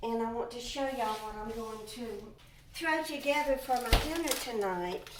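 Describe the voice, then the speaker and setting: Over noticeable background noise, a woman speaks in a high pitch with a Southern US accent. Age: 70s. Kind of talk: casual talk to camera.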